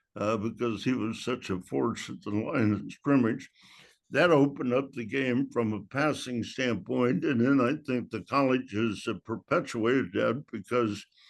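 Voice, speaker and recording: Over a quiet background, a man talks at medium pitch and a moderate pace. There's vocal fry in his voice, and his pitch varies in an ordinary way. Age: 80s+. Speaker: football coach. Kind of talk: interview. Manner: halting.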